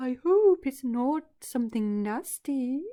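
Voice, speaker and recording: Using a put-on character voice, a man goes extremely high in pitch, sing-song and at a fairly slow pace. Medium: read story.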